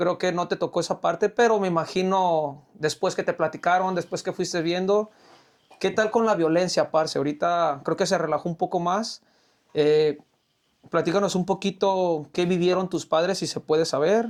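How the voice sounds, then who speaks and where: At a moderate pace and with fairly even intonation, the voice comes through on a very clean recording with a silent background. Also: man, high pitch for a man. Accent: Mexican. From Mexico. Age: 30s. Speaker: podcast host. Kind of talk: casual chat.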